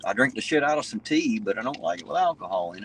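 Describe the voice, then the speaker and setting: In an Appalachian accent, the voice rolls along at a fairly quick pace with lively intonation. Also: man. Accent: American hillbilly. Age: 40s. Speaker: live-stream host, auditor. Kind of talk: casual chat. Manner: loud.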